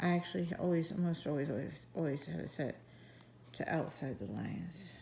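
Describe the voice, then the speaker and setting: At a moderate pace, a woman speaks in a somewhat breathy, dark, mellow voice with a fairly low pitch. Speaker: coloring app tutorial creator. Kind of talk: tutorial. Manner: casual.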